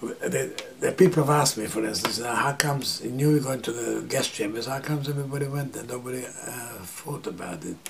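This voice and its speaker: Over noticeable background noise, a man talks fairly quickly with hardly any pauses. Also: medium pitch for a man, ordinary pitch variation. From Transylvania, Romania/Hungary (Satmar). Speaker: Holocaust survivor. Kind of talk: interview testimony. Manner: halting, with many fillers.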